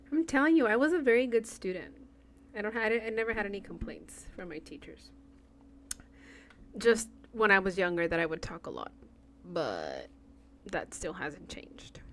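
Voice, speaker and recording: With a Spanish accent, a woman talks with vocal fry, lively intonation, big swings in loudness and long, frequent pauses. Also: medium pitch for a woman, moderate pace. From far west Texas. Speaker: cross-stitch content creator. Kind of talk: casual livestream chat while stitching. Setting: livestream with chat. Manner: chatty.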